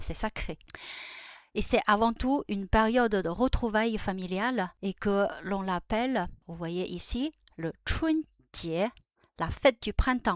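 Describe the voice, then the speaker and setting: Speech with a Chinese accent moves at a very slow pace with lively intonation, on a very clean recording with a silent background. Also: woman, fairly high pitch for a woman, dry, close sound with no echo. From China. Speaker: Chinese language and culture youtuber. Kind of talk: tutorial. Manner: halting, many hesitations.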